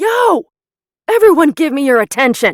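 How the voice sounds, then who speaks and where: A loud, put-on character voice sits at a high pitch. It moves at a moderate pace with very wide pitch swings. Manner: commanding, attention-grabbing.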